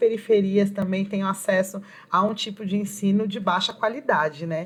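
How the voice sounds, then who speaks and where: A woman with a somewhat breathy voice speaks at medium pitch and a moderate pace. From Brazilian Northeast (Pernambuco), raised in São Paulo. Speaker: poet and educator. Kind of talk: interview.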